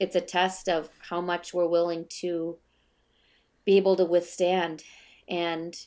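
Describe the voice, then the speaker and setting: Speaking with an American accent, a woman has a fairly low pitch. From Minnesota. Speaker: dancer and choreographer. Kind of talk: casual chat. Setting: video call.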